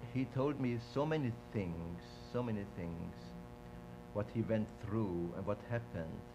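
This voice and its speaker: Music plays in the background as a man speaks fairly slowly. He leaves long, frequent pauses. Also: fairly low pitch for a man, ordinary pitch variation. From Vienna, Austria. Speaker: Holocaust-era witness interviewee. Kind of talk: oral history interview. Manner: halting, with many repetitions.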